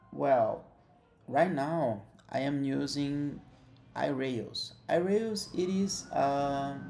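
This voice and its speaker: Long, frequent pauses break up a man's very slow speech, in a non-native accent and a dark, mellow tone. His pitch is fairly high, his intonation lively, and room echo is audible. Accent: non-native English, self-described imperfect. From Brazil. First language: Portuguese. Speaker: software developer. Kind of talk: tutorial. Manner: halting, with frequent fillers.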